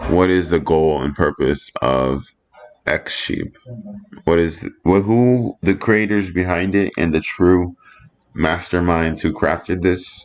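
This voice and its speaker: The man's voice is very deep and low in pitch. He speaks at a very slow pace. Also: ordinary pitch variation. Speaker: astrology and crypto video creator. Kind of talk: casual commentary. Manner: halting, self-interrupting.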